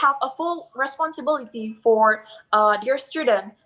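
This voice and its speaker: A woman speaks with an Indonesian accent at a moderate pace. Her pitch varies in an ordinary way. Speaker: hospitality student. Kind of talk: interview testimony. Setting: live video call. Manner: halting.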